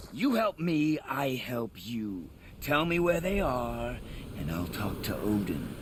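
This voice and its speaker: A man puts on a character voice at medium pitch, going at a fairly slow pace amid clear background noise. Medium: video game. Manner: cold, menacing.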